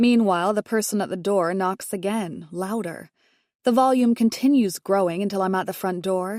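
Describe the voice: With a quiet background, the clip is plain reading aloud.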